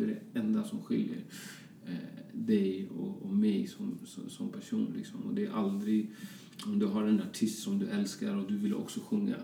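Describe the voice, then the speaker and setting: A man talks at a moderate speed, and the room's echo can be heard. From Colombia, Bogotá, moved to Sweden young. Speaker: fashion designer. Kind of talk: casual interview chat.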